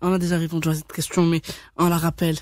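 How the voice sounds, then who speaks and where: A woman talks in a somewhat breathy voice. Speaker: radio host. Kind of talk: radio interview. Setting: radio studio.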